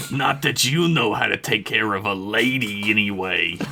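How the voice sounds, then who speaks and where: A man's booming, fairly low put-on character voice at a moderate pace, with clear background noise. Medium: read story. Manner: loud, crude, scolding.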